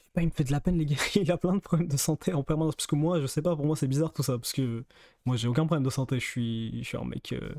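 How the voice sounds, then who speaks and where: A soft-spoken man talks at a very fast pace in a fairly high pitch with ordinary pitch variation. His tone is dark and mellow, and the sound is dry and close with no echo. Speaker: streamer. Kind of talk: casual chat. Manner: soft-spoken, speaking quietly; halting, many hesitations.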